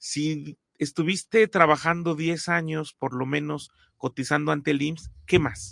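A man in a plain, everyday voice speaks fairly slowly at a fairly high pitch with ordinary pitch variation, in a dry, close sound with no echo and a quiet background. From Mexico. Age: 40s. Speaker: podcast host. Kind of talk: interview.

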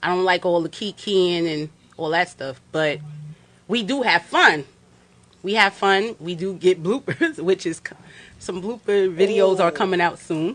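A woman of medium pitch talks at a fairly slow pace in a New York accent, with ordinary pitch variation. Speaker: film director. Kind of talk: interview. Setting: studio.

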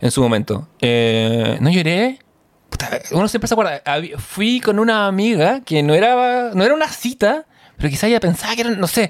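Speaking with a Chilean accent, a man uses a high pitch with very wide pitch swings, very even loudness, and a moderate pace. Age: 40s. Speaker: podcast co-host. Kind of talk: casual chat.

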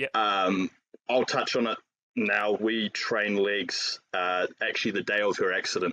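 A man speaks in a New Zealand accent at a fairly slow pace. The sound is dry and close, with no echo. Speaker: fitness coach and powerlifter. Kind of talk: casual chat.

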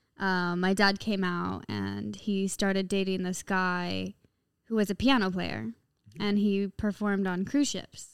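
A woman's medium-pitched, ordinary speaking voice at a fairly slow pace with ordinary pitch variation, in a very clean recording with a silent background. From Caribbean and Los Angeles. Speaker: pop musician. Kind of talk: casual chat.

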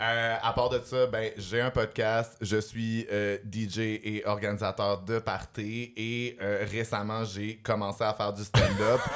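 Very slowly yet with hardly any pauses, a man speaks in a fairly low, monotone, flat voice. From Montreal, Quebec. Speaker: podcast host. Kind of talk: casual chat. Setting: stage with audience.

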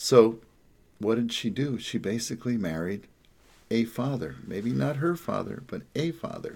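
Speaking in an American accent, a man with an ordinary speaking voice talks at a fairly slow pace. His pitch is medium and his intonation lively. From New Jersey, Jersey Shore. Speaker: psychotherapist. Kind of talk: casual monologue. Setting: home office.

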